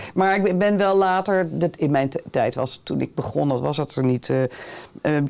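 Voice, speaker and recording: Ordinary pitch variation in a woman's dark, mellow tone. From Netherlands, The Hague; Netherlands. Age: 60s. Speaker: theatre director; interview guest. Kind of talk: interview. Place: studio.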